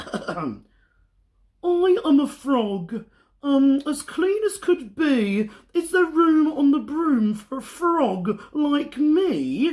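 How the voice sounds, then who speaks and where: This woman uses a put-on character voice pitched high. She talks at a very slow pace. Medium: read story.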